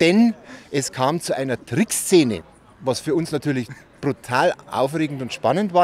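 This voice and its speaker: An unremarkable speaking voice at a fairly slow pace, with lively intonation and a dry sound with no echo. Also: man. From Bavaria, Freising; Bavaria. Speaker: eyewitness, former school newspaper editor; interviewee. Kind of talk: storytelling interview. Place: street. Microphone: handheld.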